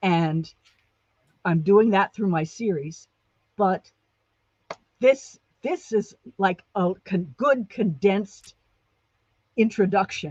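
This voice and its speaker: Very slow and lively in intonation, a woman's medium-pitched, somewhat breathy voice has a dark, mellow tone and a dry, close sound with no echo. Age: 60s. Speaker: guest sharing childhood memoir. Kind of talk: casual interview chat.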